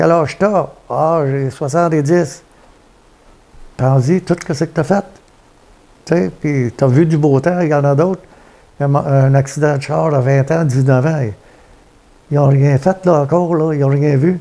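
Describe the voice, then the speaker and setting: Fairly high in pitch yet dark and mellow in tone, a man with a Quebec accent speaks with fairly even intonation and long, frequent pauses. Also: fairly slow pace. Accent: Québécois French. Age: 70s. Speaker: retired trucker. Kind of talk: interview storytelling. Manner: halting.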